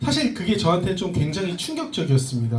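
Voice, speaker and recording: A man talks at a high pitch with very wide pitch swings. Audible room echo and noticeable background noise surround his voice. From Korea, schooled in the US from middle school. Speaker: speaker, education entrepreneur, former actor. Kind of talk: talk to a live audience.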